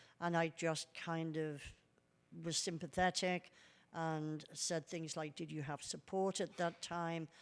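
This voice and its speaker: Her voice is fairly low for a woman and stays monotone and flat. She speaks at a fairly slow pace on a very clean recording with a silent background. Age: 70s. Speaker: researcher on elder abuse. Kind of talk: conference presentation.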